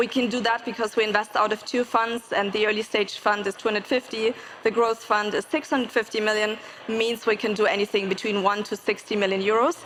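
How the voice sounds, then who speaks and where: A woman with a German accent speaks fairly quickly at a fairly high pitch with fairly even intonation, against noticeable background noise. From Germany. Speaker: venture capital investor. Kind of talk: panel discussion.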